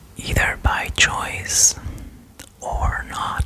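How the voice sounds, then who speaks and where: A very slow whisper against noticeable background noise. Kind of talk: ASMR whisper video. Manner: whispered; soft-spoken.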